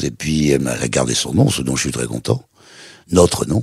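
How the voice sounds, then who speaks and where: A man's very deep, low voice, dry and close with no echo. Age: 80s+. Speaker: TV presenter. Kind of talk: interview answer.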